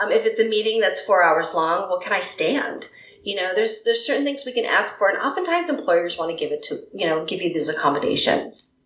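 A woman races along at a very fast pace, barely pausing, while noticeable background noise fills the space around her. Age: 50s. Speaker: clinical psychologist. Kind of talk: interview conversation.

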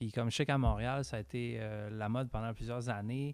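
A medium-pitched man with a Quebec accent on a very clean recording, silent background. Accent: Québécois French. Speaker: podcast co-host. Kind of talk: casual chat.

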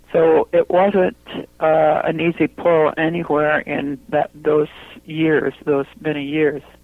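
A woman speaks very slowly in a very deep, low voice with monotone, flat intonation. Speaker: memoir author. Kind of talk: radio interview.

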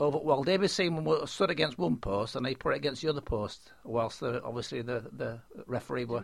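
Talking in a Yorkshire accent, a man keeps a fairly quick pace with hardly any pauses and lively intonation at medium pitch. Vocal fry runs through his voice. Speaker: football fan, host's father. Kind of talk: casual chat.

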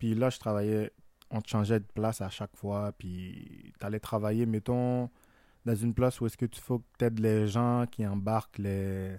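On a very clean recording with a silent background and a dry, close sound with no echo, a man with a Haitian accent speaks slowly with long, frequent pauses in a dark, mellow, fairly low voice with monotone, flat intonation. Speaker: podcast co-host. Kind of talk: casual chat.

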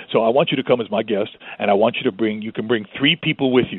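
A man speaks at a very fast pace. His pitch sits at a medium level. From New York City, then Florida from age 12. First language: Spanish. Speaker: zoo communications director and wildlife expert. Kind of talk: interview conversation.

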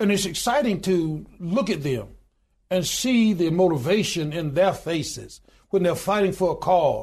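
In a Southern US accent, a man speaks with a high pitch at a fairly slow pace. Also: ordinary pitch variation. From US Deep South, Alabama. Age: 60s. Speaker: union president and pastor. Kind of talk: interview.

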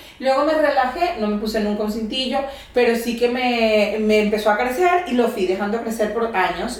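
Noticeable background noise behind a woman's fairly high voice, moving at a moderate pace. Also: ordinary pitch variation. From Venezuela. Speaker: comedian and occupational therapist. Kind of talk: casual interview chat. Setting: home recording.

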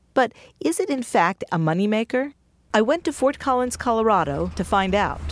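In a very clean recording with a silent background, a woman speaks at a moderate pace and fairly high pitch. Her voice has vocal fry and very wide pitch swings. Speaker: radio reporter. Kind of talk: scripted narration.

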